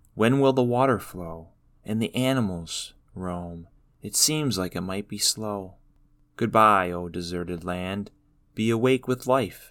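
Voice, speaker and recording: A man with an American accent and a plain, everyday voice speaks fairly slowly at a fairly low pitch, with ordinary pitch variation and big swings in loudness, on a very clean recording with a silent background. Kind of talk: poem performed, spoken word. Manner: slow, reflective, measured.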